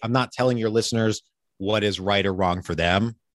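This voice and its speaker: A man with an American accent has an ordinary speaking voice and a fairly low pitch. The sound is dry and close, with no echo. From Pennsylvania. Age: 30s. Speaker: real estate investor and podcast host. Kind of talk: interview. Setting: video call.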